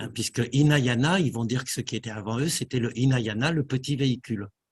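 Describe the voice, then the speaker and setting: This is a man's voice at medium pitch. It sounds somewhat breathy. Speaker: meditation teacher. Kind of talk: lecture. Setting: meditation hall with audience. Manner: halting; slow.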